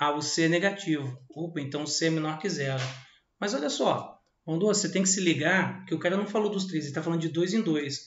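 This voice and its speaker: A man talks in a high voice at a fairly quick pace, animated in tone with lively intonation. Audible room echo surrounds his speech. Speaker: math teacher. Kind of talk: lecture. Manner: casual, animated.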